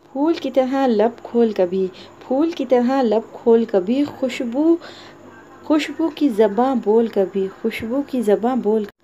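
Over noticeable background noise, a woman speaks at a high pitch with ordinary variation. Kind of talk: poetry reading.

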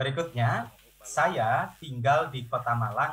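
A man's medium-pitched voice, bright and sharp in tone, with audible echo from the room. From Indonesia, East Java. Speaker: university lecturer. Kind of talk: online lecture. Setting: video call.

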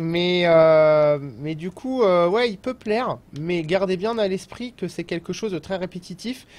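Speaking at a very slow pace, the man has a high-pitched voice. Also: ordinary pitch variation. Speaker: gaming video reviewer. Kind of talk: casual video game review, live-stream style. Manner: chatty, casual, hesitant with filler words.

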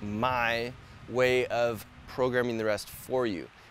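Music plays behind a man speaking. The sound is dry, with no echo. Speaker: fitness coach. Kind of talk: tutorial. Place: garden.

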